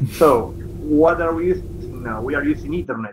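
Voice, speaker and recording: A fairly high-pitched man at a moderate pace over music in the background. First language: not English. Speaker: workshop tutor. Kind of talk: online tutorial. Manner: halting.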